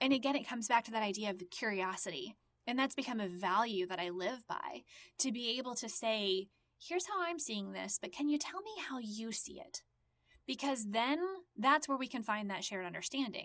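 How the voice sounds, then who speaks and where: A woman's fairly high-pitched, unremarkable speaking voice with lively intonation at a fairly quick pace. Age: 40s. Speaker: podcast host. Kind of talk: solo monologue. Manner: conversational, reflective.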